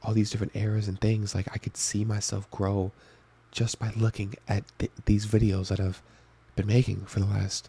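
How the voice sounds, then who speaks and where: A man with a fairly low pitch and a dark, mellow, somewhat breathy tone speaks at a fairly quick pace in monotone, flat intonation, with a dry, close sound and no echo. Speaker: youtuber. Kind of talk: video diary monologue. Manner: soft-spoken.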